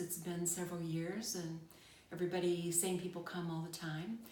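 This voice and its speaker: With audible room echo, a woman speaks at a moderate pace in a fairly low pitch and a monotone, flat intonation. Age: 60s. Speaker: retired nurse, cancer survivor interviewee. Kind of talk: interview. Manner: hesitant with frequent fillers.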